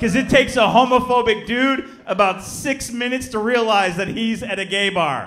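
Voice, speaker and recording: A man speaks at a high pitch with ordinary pitch variation. There is light background noise. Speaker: stand-up comedian. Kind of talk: stand-up comedy performance. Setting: live comedy club with audience. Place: stage. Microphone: handheld.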